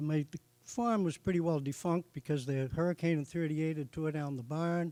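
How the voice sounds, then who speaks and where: With a Boston accent, a man speaks in a dark, mellow tone at fairly high pitch and ordinary pitch variation, the sound dry and close with no echo. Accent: Boston-area New England. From Massachusetts (Norfolk). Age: 70s. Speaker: racing hall of fame inductee. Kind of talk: acceptance speech.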